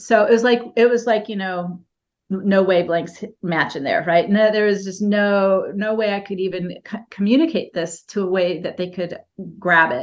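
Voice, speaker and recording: In a quiet background, a woman with an unremarkable speaking voice talks at a moderate pace, her pitch medium and her pitch variation ordinary. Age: 60s. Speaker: spiritual healer and teacher. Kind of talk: interview.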